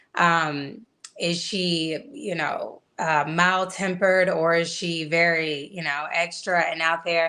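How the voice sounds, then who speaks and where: Very slowly, a woman talks in an American accent with a fairly low pitch. Her tone is bright and sharp, and her intonation is monotone and flat. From Atlanta, US South. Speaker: actress. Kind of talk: casual interview. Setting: video call.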